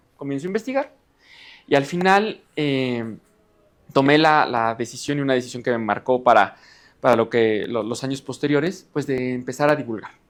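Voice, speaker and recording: Moderate speed and ordinary pitch variation from a man, his pitch medium. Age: 20s. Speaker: geophysics engineer and science communicator. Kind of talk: lecture. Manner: halting.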